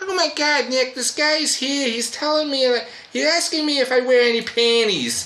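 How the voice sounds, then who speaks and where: A squeaky, put-on character voice, female-sounding and high-pitched, at a moderate pace with clear background noise. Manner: alarmed, scandalized.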